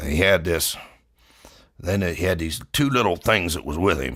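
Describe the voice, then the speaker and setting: A man's put-on character voice, raspy and very deep, at a moderate pace with ordinary pitch variation. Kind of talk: comedic tall-tale monologue. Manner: casual, rambling.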